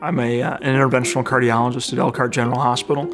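A man at a fairly quick pace with ordinary pitch variation, over faint background music. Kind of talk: interview answer. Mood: calm, earnest. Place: hall.

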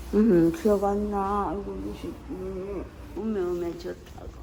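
Slowly, at a very slow pace, a woman speaks. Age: old. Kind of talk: casual conversation at home.

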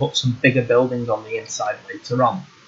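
Breathiness is somewhat present in this man's voice. He talks at a fairly quick pace. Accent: British. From UK. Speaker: gaming YouTuber. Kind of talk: gameplay tutorial.

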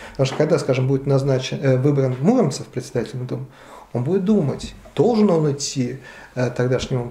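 Amid audible room echo, a man speaks at a very fast pace and medium pitch with ordinary pitch variation. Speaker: history professor. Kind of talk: interview. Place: cafe.

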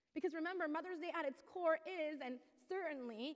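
A woman with an extremely high pitch and ordinary pitch variation speaks at a moderate pace over a quiet background. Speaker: pastor. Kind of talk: sermon. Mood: earnest, passionate. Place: church. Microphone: headset.

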